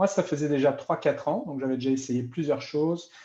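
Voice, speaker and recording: The man's voice carries a dark, mellow tone. His pitch rises and falls in an ordinary way. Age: 50s. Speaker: product user testimonial. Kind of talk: sales pitch. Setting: live stream.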